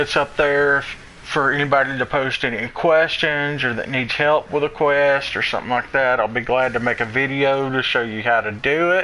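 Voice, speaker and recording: A man with a Southern US accent speaks at a moderate pace with hardly any pauses. His intonation is fairly even, and there is noticeable background noise. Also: fairly high pitch for a man. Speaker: gaming streamer. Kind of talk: gameplay tutorial.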